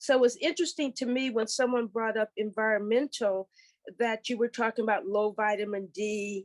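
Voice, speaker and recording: With an American accent, a woman with an unremarkable speaking voice talks at a fairly quick pace with ordinary pitch variation, in a dry, close sound with no echo against a quiet background. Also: fairly high pitch for a woman. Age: 60s. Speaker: caller. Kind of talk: audience question.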